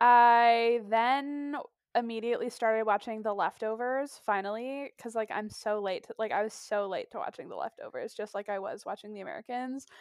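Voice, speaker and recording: A woman's fairly high voice, an ordinary speaking voice, with ordinary pitch variation, big swings in loudness and hardly any pauses, dry and close with no echo on a very clean recording over a silent background. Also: moderate pace. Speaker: guest co-host. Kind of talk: casual chat.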